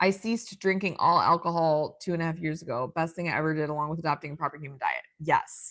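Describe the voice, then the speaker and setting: A woman with a very deep, low voice talks at a very fast pace in an animated tone. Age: 30s. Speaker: livestream host reading viewer comments. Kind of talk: casual livestream chat. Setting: solo livestream with tripod and computer.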